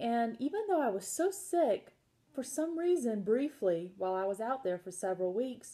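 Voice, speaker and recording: A woman's dark, mellow voice at a fairly slow pace, with lively intonation. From US South, South Carolina. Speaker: health educator / chronic illness survivor. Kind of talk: casual informational talk. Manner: animated.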